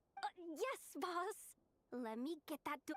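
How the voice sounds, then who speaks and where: A woman puts on a character voice with an extremely high pitch and very wide pitch swings, talking fairly slowly. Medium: video game. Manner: casual, brash.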